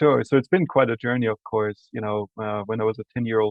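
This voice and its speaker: A man with an Austrian accent, medium pitch and fairly even intonation. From Austria, Salzburg. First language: German. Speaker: university administrator. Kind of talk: podcast interview.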